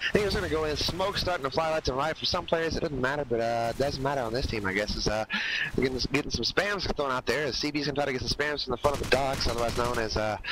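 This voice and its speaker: Talking very fast over noticeable background noise, a man uses a fairly high pitch with ordinary pitch variation. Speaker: esports shoutcaster. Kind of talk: live commentary. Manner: stuttering.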